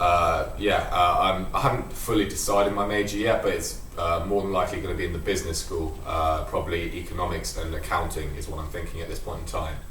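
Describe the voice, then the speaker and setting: A man in a London accent, talking at a fairly quick pace with hardly any pauses, amid noticeable background noise and audible room echo. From England, London. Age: young. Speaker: college student athlete. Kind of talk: interview.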